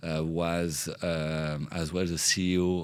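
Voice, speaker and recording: A man speaks with a French accent at a very deep, low pitch. His intonation is monotone and flat. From France. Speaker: entrepreneur. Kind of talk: podcast interview. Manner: halting, many fillers.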